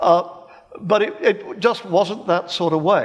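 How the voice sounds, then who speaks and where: A man with an English accent and a high pitch talks at a fairly slow pace with lively intonation over noticeable background noise. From England (Birmingham). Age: 70s. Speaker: professor of philosophy. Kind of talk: panel debate. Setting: stage with live audience. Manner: halting, repeats words.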